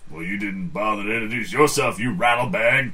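Putting on a character voice, a man talks at a fairly quick pace with a medium pitch. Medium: actual play. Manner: blunt, folksy, ungrammatical.

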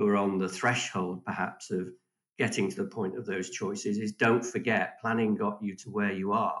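Flat and monotone, a man with an English accent speaks at a fairly low pitch. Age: 60s. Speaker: financial advisor. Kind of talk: casual chat.

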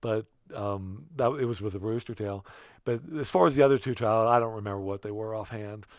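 With a central Pennsylvania accent, the man talks at a moderate pace and medium pitch, with ordinary pitch variation. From central Pennsylvania, Bedford County. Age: 60s. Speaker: trout angler. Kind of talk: casual interview.

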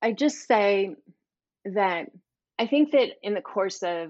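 A woman with an American accent speaks at a very slow pace using lively intonation. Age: 50s. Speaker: author and speaker on money mindset. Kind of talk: interview.

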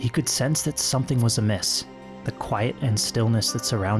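Someone reads in an unforced manner.

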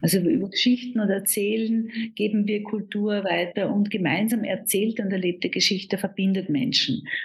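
A woman's medium-pitched voice at a moderate pace, ordinary pitch variation, noticeable background noise. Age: 50s. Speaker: business consultant and coach. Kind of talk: interview conversation.

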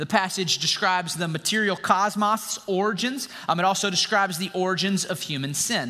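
The reading voice is unforced. It comes across that way throughout.

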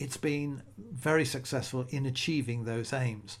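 Here is a man with a British accent. His voice sits at a medium pitch and is somewhat breathy. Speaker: magician and podcaster. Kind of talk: solo podcast monologue.

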